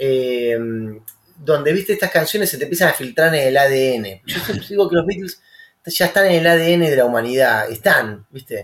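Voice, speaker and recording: At a moderate pace, a man with an Argentine accent speaks at a fairly high pitch with lively intonation. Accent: Rioplatense Argentine Spanish. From Rosario, Argentina. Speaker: musician. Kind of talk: casual chat.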